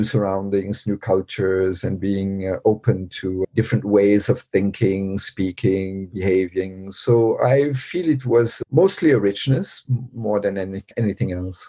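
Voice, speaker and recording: A man's fairly low, dark and mellow voice at a moderate pace, with ordinary pitch variation. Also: hardly any pauses. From many countries, diplomat family (French-Vietnamese). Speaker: Buddhist teacher and educator. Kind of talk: interview. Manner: thoughtful, hesitant with fillers.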